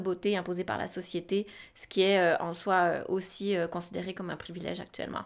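The background stays quiet. A woman speaks at a moderate pace. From Switzerland. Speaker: podcast co-host, sexology student; podcast co-host. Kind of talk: casual chat. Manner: halting, many fillers and repetitions. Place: studio. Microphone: studio mic.

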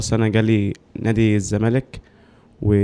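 A man speaks with an Egyptian accent at a moderate pace. His tone is dark and mellow, and his intonation is monotone and flat. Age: 20s. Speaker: footballer. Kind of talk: interview testimony. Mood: frustrated, complaining about contracts. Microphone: handheld.

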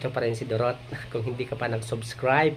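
This man's somewhat breathy voice sits at a medium pitch and stays monotone and flat. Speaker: vlogger. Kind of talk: casual vlog walkthrough. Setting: walking around a house under renovation.

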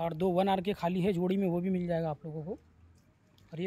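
A man talks at a fairly quick pace in a high pitch with fairly even intonation. His tone is dark and mellow, and the sound is dry with no echo. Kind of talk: casual property walkthrough narration. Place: street. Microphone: phone near.

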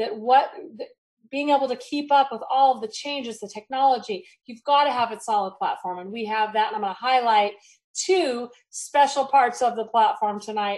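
Over a quiet background, a woman speaks at a moderate pace with ordinary pitch variation and big swings in loudness. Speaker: network marketing presenter. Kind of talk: sales pitch. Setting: video call. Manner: animated. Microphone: video call.

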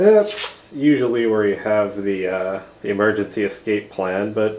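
This man's voice sits at a fairly low pitch with ordinary pitch variation. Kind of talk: casual room tour narration. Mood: joking, deadpan. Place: home room. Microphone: phone near.

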